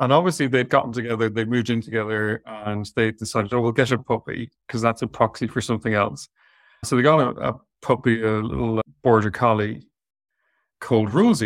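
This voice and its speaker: Speaking at a fairly quick pace in an Irish accent, a man holds a medium pitch with fairly even intonation. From southwest Ireland. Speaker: veterinary surgeon and talent manager. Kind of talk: interview on an online webinar. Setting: video call.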